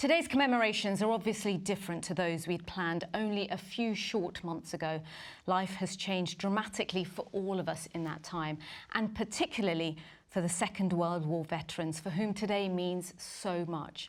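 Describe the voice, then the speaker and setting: In a very clean recording with a silent background, a woman of medium pitch speaks at a moderate pace with ordinary pitch variation in a normal speaking voice. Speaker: newsreader. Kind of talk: live broadcast presenting.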